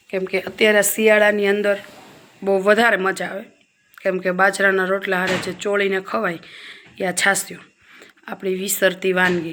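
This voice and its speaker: This woman's voice sits at a medium pitch, with a monotone, flat intonation. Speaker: cooking video creator. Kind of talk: cooking tutorial. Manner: soft-spoken; casual, chatty.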